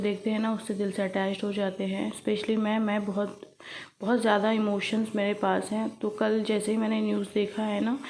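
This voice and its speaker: With a fairly high pitch, this woman's intonation stays monotone and flat. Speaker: home vlogger. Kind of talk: vlog voice-over.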